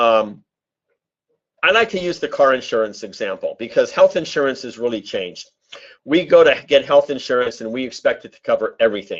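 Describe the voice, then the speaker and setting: A man at a moderate pace. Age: 60s. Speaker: webinar presenter on health insurance. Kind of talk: webinar presentation. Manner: casual with frequent fillers.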